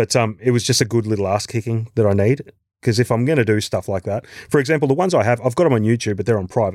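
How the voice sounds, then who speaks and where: On a very clean recording with a silent background, a man with an Australian accent talks at a very fast pace, medium in pitch with ordinary pitch variation. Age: 40s. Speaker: actor and musician. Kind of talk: casual chat.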